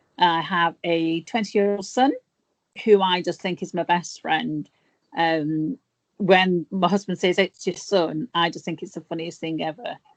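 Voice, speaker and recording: A woman with an English accent talks at a fairly slow pace and fairly low pitch with ordinary pitch variation, the sound dry and close with no echo against a quiet background. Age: 50s. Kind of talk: interview.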